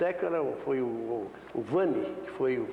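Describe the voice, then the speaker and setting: The voice has ordinary pitch variation, set against noticeable background noise and audible room echo. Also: man. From Brazil, São Paulo state. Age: 70s. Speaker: former football goalkeeper. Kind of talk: interview.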